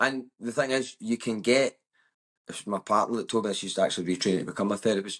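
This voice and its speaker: A man speaks with a West of Scotland accent. The sound is dry and close with no echo, and the background is quiet. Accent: West of Scotland Scottish. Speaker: comedian. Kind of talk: casual chat. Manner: loud; animated.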